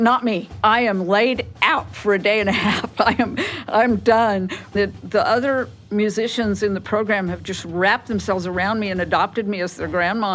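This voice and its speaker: A woman speaks with fairly even intonation. Noticeable background noise runs behind her. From New Mexico. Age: 60s. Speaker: music student. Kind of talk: interview.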